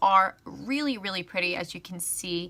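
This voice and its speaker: The tone is bright and sharp, with the pitch swinging very widely up and down. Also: woman. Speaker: beauty vlogger. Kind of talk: tutorial. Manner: fast; casual, filler-heavy.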